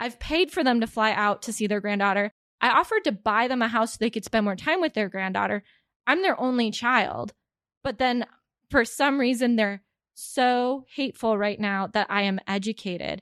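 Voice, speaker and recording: Using an ordinary speaking voice, a woman talks at a fairly high pitch and moderate pace with ordinary pitch variation. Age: 30s. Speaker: tech professional and mother. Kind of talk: casual chat.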